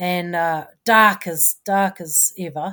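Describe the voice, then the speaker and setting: Her bright, sharp tone and fairly low pitch mark this woman, who talks with a New Zealand accent in a monotone, flat intonation. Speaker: former ocean racing sailor. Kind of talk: interview. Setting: video call.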